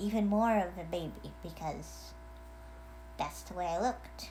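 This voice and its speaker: Fairly slow female speech with audible room echo. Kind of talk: casual video message. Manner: hesitant, many fillers.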